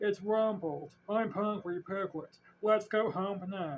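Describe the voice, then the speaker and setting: At a fairly slow pace, the speaker uses a put-on character voice at a middle pitch. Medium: read story. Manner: slow, gentle.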